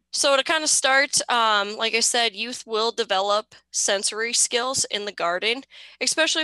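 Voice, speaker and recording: A woman talks at a moderate pace with ordinary pitch variation. The sound is dry, with no echo and a quiet background. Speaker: extension horticulture educator. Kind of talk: lecture. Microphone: webcam.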